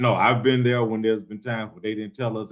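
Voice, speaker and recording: This man speaks with a Southern US accent at a fairly low pitch. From Atlanta, Georgia. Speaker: show co-host. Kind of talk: casual chat.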